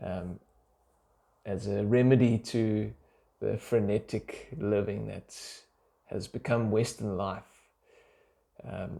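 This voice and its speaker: Very slowly, a man speaks at a fairly low pitch in a dark, mellow tone with monotone, flat intonation. The recording is very clean, with a silent background. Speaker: doctor vlogger. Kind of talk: unscripted vlog monologue. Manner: halting, many fillers.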